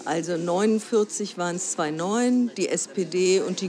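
A woman's medium-pitched voice, with ordinary pitch variation, is heard against noticeable background noise. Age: 60s. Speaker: broadcasting council member. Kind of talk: interview. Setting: café in a train station.

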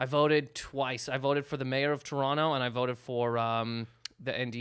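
A man speaks in a Canadian accent. His pitch is medium and his intonation fairly even. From Canada. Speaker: comedian, guest host. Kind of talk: casual chat.

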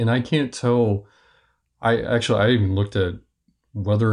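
Here a man speaks with a somewhat breathy voice and fairly even intonation. The background is quiet. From US Midwest, Kansas City, Missouri. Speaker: podcast guest, music fan. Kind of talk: casual chat.

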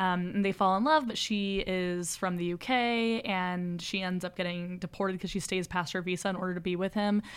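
A woman speaks in a plain, everyday voice at a medium pitch and a moderate pace, with fairly even intonation and hardly any pauses. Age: 20s. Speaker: podcast co-host. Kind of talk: casual chat about a horror movie.

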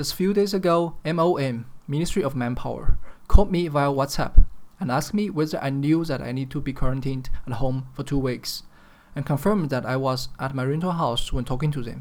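Speaking with a Chinese accent at a fairly quick pace, the voice carries a serious tone and ordinary pitch variation. Its loudness swings widely from moment to moment. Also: man, fairly high pitch for a man. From China, Chengdu (Sichuan). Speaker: podcaster. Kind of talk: solo podcast monologue.

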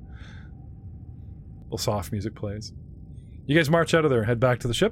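Using lively intonation and vocal fry, a man speaks at a medium pitch and moderate pace with big swings in loudness. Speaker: game master running a tabletop roleplaying game. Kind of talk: dramatic narration of the scene, read in a storyteller's tone; casual tabletop gaming chat. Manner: animated, theatrical, describing scenes with flair.

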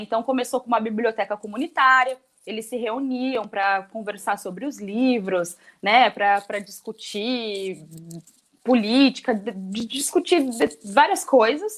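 A woman speaks at a fairly slow pace. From São Vicente, São Paulo coast, Brazil. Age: 20s. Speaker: social project coordinator. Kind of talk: interview. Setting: radio studio with video call.

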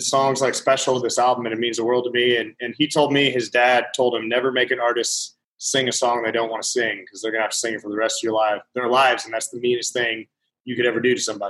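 A man with a Montana accent, very fast and monotone, with flat intonation at a medium pitch. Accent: Montana, US Mountain West. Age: 30s. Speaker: country musician. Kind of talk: casual chat.

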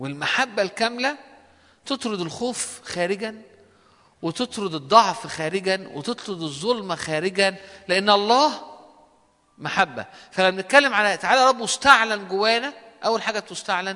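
A man's raised, projected voice with an Egyptian accent, high in pitch, with ordinary pitch variation and a fairly slow pace. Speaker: preacher. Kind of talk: sermon.

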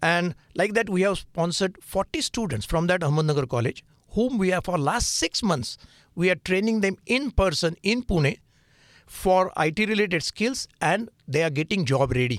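A high-pitched man with a Marathi accent at a moderate pace, very even loudness, a dry, close sound with no echo and a very clean recording with a silent background. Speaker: nonprofit founder. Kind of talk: radio interview. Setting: studio.

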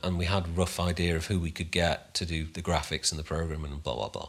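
A man talks with a very deep, low pitch. His intonation stays fairly even. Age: 50s. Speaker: video game composer and sound designer. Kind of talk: casual interview chat. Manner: hesitant, many fillers and restarts.

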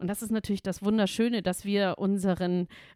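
A woman with a medium-pitched voice talks in an animated tone, the recording very clean with a silent background and a dry, close sound with no echo. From Bavaria, Munich. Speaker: music and culture manager, founder of senior initiative. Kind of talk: casual interview.

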